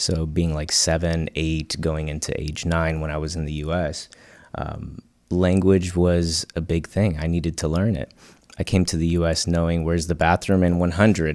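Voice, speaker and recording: Spoken in a Spanish accent at a moderate pace with fairly even intonation, the speech comes through a very clean recording with a silent background. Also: man. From Cuba, moved to the US at about age 8. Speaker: design agency founder. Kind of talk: podcast interview.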